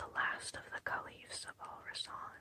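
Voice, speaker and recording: Someone is whispering. The pace is fairly slow. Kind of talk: whispered audiobook narration. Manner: whispered, soft.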